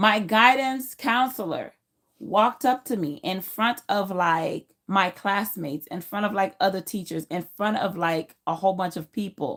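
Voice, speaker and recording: A woman speaks at a fairly slow pace with a Haitian accent, her pitch medium and her intonation lively. The recording is very clean, with a silent background. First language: Haitian Creole. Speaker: YouTuber. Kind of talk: personal vlog storytelling. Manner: casual with fillers.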